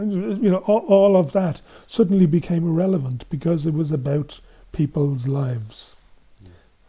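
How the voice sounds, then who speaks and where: Talking in an Irish accent, a man with a high pitch and a dark, mellow tone uses lively intonation and big swings in loudness at a moderate pace. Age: 70s. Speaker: men's group facilitator. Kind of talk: interview.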